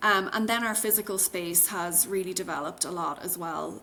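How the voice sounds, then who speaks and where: An Irish accent at a moderate pace. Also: woman. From Ireland. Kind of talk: interview answer.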